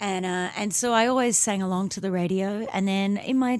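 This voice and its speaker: With an American accent, the speaker shows ordinary pitch variation. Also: woman. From Australia. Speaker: singer-songwriter. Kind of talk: radio interview. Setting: radio studio.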